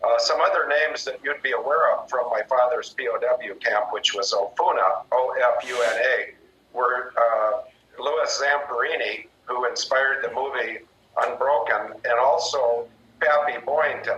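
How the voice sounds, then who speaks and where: Fairly slow speech by a man, noticeable background noise all around. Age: 60s. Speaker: retired military pilot. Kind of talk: radio interview.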